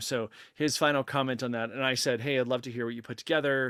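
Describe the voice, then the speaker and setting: A man with medium pitch and an ordinary speaking voice, at a fairly quick pace and with fairly even intonation, on a very clean recording with a silent background. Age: 40s. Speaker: podcast host, amateur ultrarunner. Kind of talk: casual chat, reading viewer comments.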